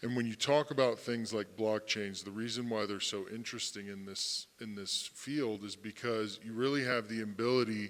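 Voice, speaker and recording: Hardly pausing, a man speaks at a moderate pace and medium pitch. His intonation stays fairly even. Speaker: fintech panelist. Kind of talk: panel discussion. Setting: conference stage with audience. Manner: loud.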